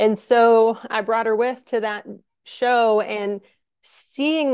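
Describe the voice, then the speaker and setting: With an American accent, a woman at a fairly high pitch speaks in a plain, everyday voice and fairly even intonation. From Minnesota. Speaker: concert production manager. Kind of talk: casual interview chat.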